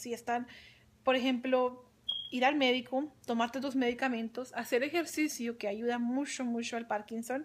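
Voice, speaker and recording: A woman speaks fairly slowly at a high pitch. Her intonation stays fairly even. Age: 20s. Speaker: young-onset Parkinson's patient; vlogger sharing personal health experience. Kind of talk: personal testimony. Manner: halting, frequent repetitions and fillers. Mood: earnest, encouraging. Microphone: phone near.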